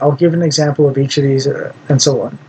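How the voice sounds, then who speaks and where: Noticeable background noise can be heard throughout. The talking proceeds at a moderate pace. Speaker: political commentary vlogger. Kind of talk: solo monologue. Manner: halting, many fillers and repetitions.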